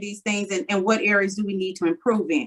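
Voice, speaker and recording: A woman talks at a fairly quick pace in an ordinary speaking voice. Her pitch sits fairly high. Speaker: school board member reporting on committee work. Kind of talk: meeting report.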